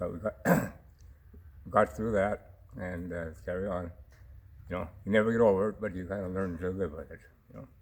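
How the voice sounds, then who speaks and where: A man with a Canadian prairie accent, very deep and low in pitch, at a fairly quick pace with long, frequent pauses, fairly even intonation and big swings in loudness. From Saskatchewan, Canada. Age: 70s. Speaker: sheepdog trialist and rancher. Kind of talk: interview. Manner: halting, many fillers.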